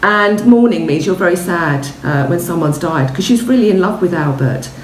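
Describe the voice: A woman's fairly low voice at a moderate pace, lively in intonation, with audible room echo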